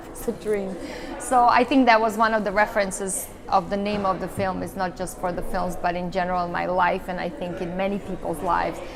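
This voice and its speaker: Over noticeable background noise and audible room echo, a woman with an American accent speaks at a fairly quick pace, medium pitch and fairly even intonation. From Serbia. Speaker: actress and filmmaker. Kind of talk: interview.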